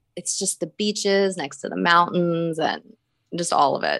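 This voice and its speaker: A woman with an American accent, her fairly low voice bright and sharp in tone, at a moderate pace against a quiet background. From Northern Virginia, near Washington DC. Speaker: web and graphic designer. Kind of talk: casual interview chat.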